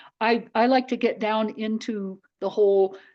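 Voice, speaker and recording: A woman speaks at a very slow pace and a fairly high pitch, with fairly even intonation and a quiet background. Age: 70s. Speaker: therapeutic counselor. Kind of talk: interview. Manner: halting.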